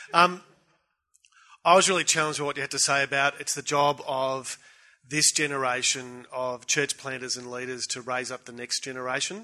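An Australian-accented man at a fairly high pitch and moderate pace, with big swings in loudness and fairly even intonation. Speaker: pastor. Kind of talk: conference panel discussion. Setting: stage with audience.

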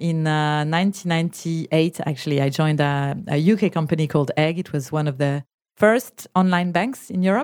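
This woman speaks quickly with a French accent. Her pitch is fairly low with ordinary variation, in a very clean recording with a silent background. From France. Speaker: startup founder and CEO. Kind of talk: interview. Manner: hesitant with many fillers.

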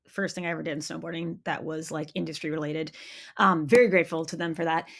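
Speaking with an American accent, a woman keeps a fairly quick pace in a bright, sharp tone. The recording is very clean, with a silent background. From Maine, US. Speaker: snowboard magazine editor and commentator. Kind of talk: casual interview. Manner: halting, many fillers.

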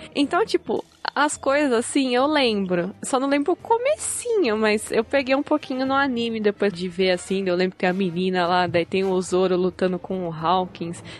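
Over noticeable background noise, a woman at medium pitch talks at a moderate pace with lively intonation and hardly any pauses, in a dry, close sound with no echo. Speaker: podcast guest, pop culture writer. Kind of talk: casual chat.

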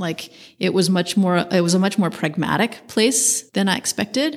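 At a moderate pace, the speaker talks in an American accent with ordinary pitch variation. Vocal fry runs through the voice. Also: woman. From US West Coast, San Francisco. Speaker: architect. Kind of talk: interview.

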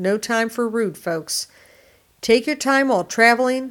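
A woman speaks at a fairly high pitch with an American accent. Her pitch varies in an ordinary way. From Detroit, Michigan. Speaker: auto technician and show host. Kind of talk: call-in style advice show. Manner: animated.

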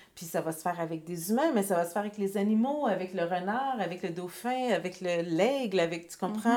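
Dark, mellow tone at a moderate pace, hardly any pauses, and ordinary pitch variation. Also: woman. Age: 40s. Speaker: author and entrepreneur. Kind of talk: casual interview.

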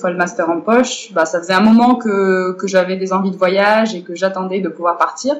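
A woman talks at a moderate pace with hardly any pauses. Noticeable background noise sits behind her. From Morocco. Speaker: cultural centre director. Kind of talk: interview.

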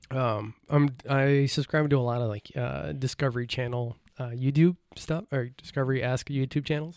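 With a normal speaking voice, a man talks at a medium pitch and moderate pace, using ordinary pitch variation and hardly any pauses. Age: 30s. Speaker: podcast guest. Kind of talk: casual chat.

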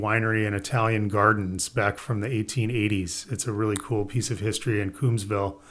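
A man talks in an ordinary speaking voice at a medium pitch. His intonation is fairly even and his pace moderate. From US Midwest (Indiana). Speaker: winemaker. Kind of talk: casual interview.

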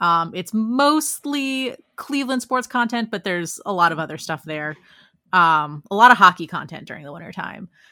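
With an American accent, a woman speaks at a medium pitch in a bright, sharp tone, at a moderate pace, with very wide pitch swings and big swings in loudness, on a very clean recording with a silent background. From Northern Virginia, near Washington, D.C. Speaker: sports radio producer. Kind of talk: casual chat.

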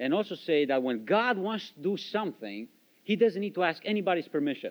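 Very wide pitch swings mark this fairly quick voice with a Romanian accent. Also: man. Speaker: missionary. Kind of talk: testimony. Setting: church.

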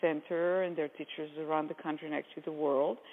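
In an Israeli accent, a woman speaks at a very deep, low pitch with fairly even intonation. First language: Hebrew. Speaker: movement therapy method founder. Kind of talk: interview explanation.

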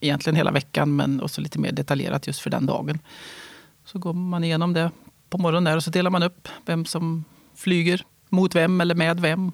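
A man talks at a fairly quick pace. His voice is high in pitch. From Värmland, Sweden. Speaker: fighter pilot. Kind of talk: interview. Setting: studio.

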